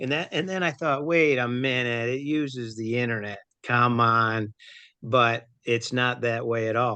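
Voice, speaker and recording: Speaking at a fairly slow pace, a man has a bright, sharp tone at medium pitch with ordinary pitch variation. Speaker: amateur radio operator panelist. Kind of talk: casual panel discussion. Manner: boisterous.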